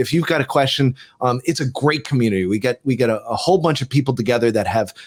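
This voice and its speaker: Someone with a New Jersey accent talks at a very fast pace. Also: man. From US Northeast, New Jersey. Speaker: tech expert, former TV producer. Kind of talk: casual interview chat. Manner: halting, repeats words.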